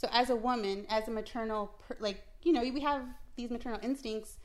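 A woman in a normal speaking voice talks at a fairly quick pace, her fairly high pitch held in fairly even intonation. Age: 30s. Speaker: small business owner. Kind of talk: casual family chat.

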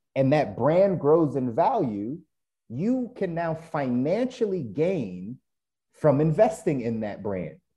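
A man's somewhat breathy, dark, mellow voice, fairly high in pitch with very wide pitch swings, at a very slow pace over a quiet background. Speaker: podcast co-host. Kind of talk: casual conversation between friends. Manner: animated, chatty.

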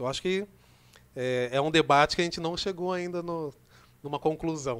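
At a moderate pace and a fairly high pitch, a man talks in a normal speaking voice, his pitch varying in an ordinary way. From Brazil, Rio Claro (São Paulo state). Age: 30s. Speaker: community organizer and youth project leader. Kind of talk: casual podcast interview. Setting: studio.

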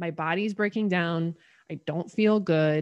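With an American accent, a woman speaks in an unremarkable speaking voice at a fairly low pitch, a moderate pace and fairly even intonation. The sound is dry and close with no echo, over a quiet background. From Connecticut, US. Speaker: holistic health coach. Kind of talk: casual interview.

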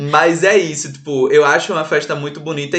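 A man speaks in a fairly high voice. Noticeable background noise runs behind him. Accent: Pernambuco. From Pernambuco backlands, Salgueiro. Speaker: podcast co-host. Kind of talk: casual chat.

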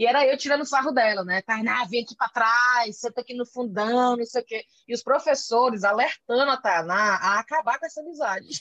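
A woman with a high voice speaks at a fairly quick pace with hardly any pauses and ordinary pitch variation. The sound is dry and close, with no echo. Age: 30s. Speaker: journalist and podcaster. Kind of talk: casual interview chat.

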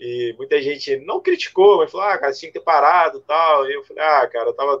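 Talking at a fairly quick pace, a man has an ordinary speaking voice with fairly high pitch and ordinary pitch variation. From Rio de Janeiro. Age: 40s. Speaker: amateur runner and social media creator. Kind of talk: casual interview on a live stream.

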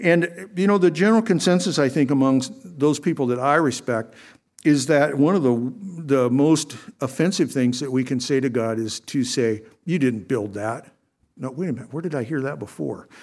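On a very clean recording with a silent background, a man with a fairly high pitch speaks at a moderate pace with lively intonation. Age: 60s. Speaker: lay preacher filling in for pastor. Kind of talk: sermon. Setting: church. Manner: halting.

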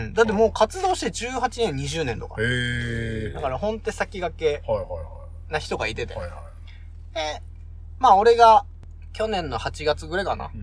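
A man speaks with a strong Yamagata accent. He leaves long, frequent pauses. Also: moderate pace, big swings in loudness. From Japan, Yamagata Prefecture (Kanayama town). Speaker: podcast co-host. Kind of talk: casual chat.

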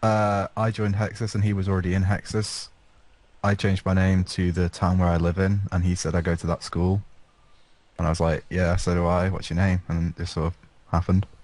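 Against a quiet background, a man with an English accent speaks fairly quickly in a very deep, low voice, with monotone, flat intonation and very even loudness. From England. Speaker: gaming podcast panelist. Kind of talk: casual chat.

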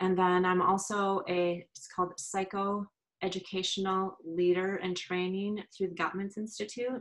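A woman with an American accent speaks at a medium pitch in a monotone, flat intonation. Her loudness shifts in big swings. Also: moderate pace. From US Midwest, Minnesota. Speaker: executive coach. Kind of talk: casual interview. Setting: video call.

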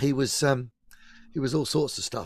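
The speaker is a man with a fairly high pitch. His voice is somewhat breathy. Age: 50s. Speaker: singer and pianist. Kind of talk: casual chat. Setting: video call.

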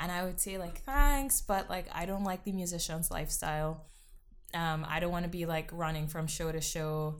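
A woman's fairly low voice with ordinary pitch variation at a moderate pace, in audible room echo. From Trinidad. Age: 20s. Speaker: singer-songwriter. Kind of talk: casual interview.

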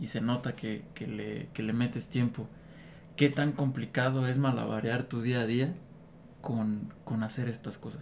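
Speaking at a fairly slow pace, a man holds a medium pitch with fairly even intonation. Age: 30s. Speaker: guest interviewer. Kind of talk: casual chat.

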